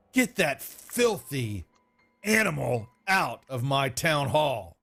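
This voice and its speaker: A man uses a put-on character voice with a fairly high pitch. He speaks at a very slow pace. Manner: angry, commanding.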